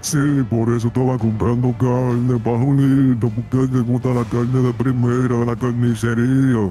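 Clear music plays behind a man doing a put-on character voice. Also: medium pitch for a man, moderate pace. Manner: confused, pleading, bewildered.

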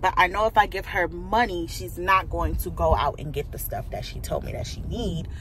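At a moderate pace, a woman speaks with a dry sound with no echo and light background noise. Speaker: vlogger. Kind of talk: casual vlog chat. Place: car. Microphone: phone near.

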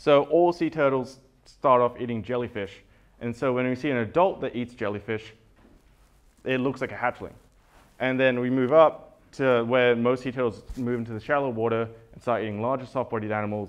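A man with an Australian accent speaks with fairly even intonation. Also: medium pitch for a man, fairly quick pace. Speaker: conference speaker, evolutionary biologist. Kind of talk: conference talk. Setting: stage with audience. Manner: halting, many fillers. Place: hall.

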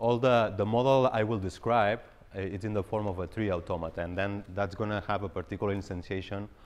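A man's fairly low voice at a very fast pace, with fairly even intonation. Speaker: presenter. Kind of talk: lecture. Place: hall.

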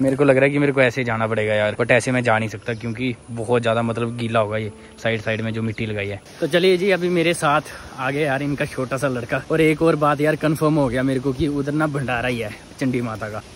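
Light background noise sits behind a man talking at a fairly quick pace with ordinary pitch variation, and the sound is dry with no echo. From Jammu and Kashmir. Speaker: village vlogger. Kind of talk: casual vlog talk to camera. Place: open country. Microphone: phone near.

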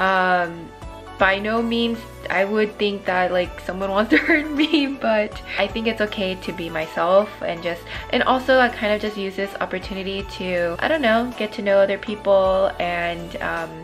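A woman speaks at a moderate pace with ordinary pitch variation while music plays clearly in the background. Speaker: vlogger. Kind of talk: casual vlog chat. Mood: upbeat, reflective. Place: home room. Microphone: phone near.

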